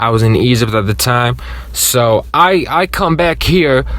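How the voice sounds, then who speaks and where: Animated in tone, a man speaks with ordinary pitch variation. Noticeable background noise can be heard behind him. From Jordan. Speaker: youtuber. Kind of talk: storytime, casual monologue. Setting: in a car. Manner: louder than usual; casual, animated.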